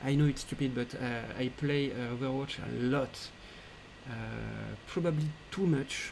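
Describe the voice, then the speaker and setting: With a French accent, a man speaks at medium pitch and a fairly slow pace. His intonation is fairly even, and there is noticeable background noise. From France. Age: 20s. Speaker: 3D artist and game developer. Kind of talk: live Q&A stream. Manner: halting, many fillers.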